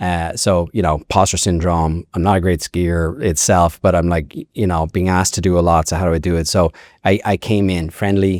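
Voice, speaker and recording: A man with an Irish accent and a very deep, low pitch, fairly quick and fairly even in intonation, in a very clean recording with a silent background and a dry, close, echo-free sound. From Ireland. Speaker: ski resort executive. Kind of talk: podcast interview. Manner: casual, many fillers.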